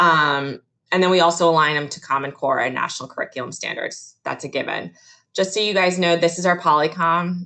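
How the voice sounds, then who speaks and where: Speaking at a fairly quick pace, a woman keeps her voice at a fairly low pitch. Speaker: museum educator. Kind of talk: virtual presentation. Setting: video call. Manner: loud; animated.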